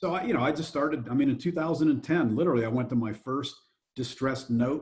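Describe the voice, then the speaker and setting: A somewhat breathy man at a fairly high pitch, very fast pace and ordinary pitch variation. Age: 60s. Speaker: real estate investor and fund manager. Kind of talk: podcast interview.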